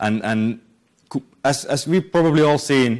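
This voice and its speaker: In a Finnish accent, the speaker talks at a moderate pace with ordinary pitch variation on a very clean recording with a silent background. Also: man. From Finland. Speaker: software developer and conference speaker. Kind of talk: conference talk. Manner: halting, many repetitions and fillers.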